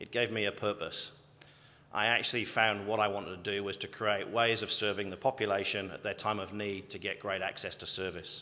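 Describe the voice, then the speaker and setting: In a British accent, a man talks at a fairly quick pace with a fairly low pitch, a bright, sharp tone and flat, monotone intonation. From UK. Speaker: health service chief executive. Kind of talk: graduation address. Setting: ceremony hall with audience.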